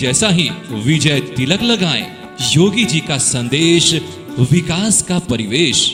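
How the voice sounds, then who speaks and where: With music in the background, a man speaks in an energetic tone, his pitch swinging very widely. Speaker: radio jockey and voice-over artist. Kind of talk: political rally campaign announcement. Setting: studio. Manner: energetic, loud, promotional.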